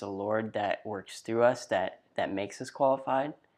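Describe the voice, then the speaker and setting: Fairly low-pitched, a man with a Texan accent speaks at a fairly slow pace with fairly even intonation in a very clean recording with a silent background. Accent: Texan Southern US. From East Texas. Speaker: podcast co-host, college student. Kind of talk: casual podcast introduction.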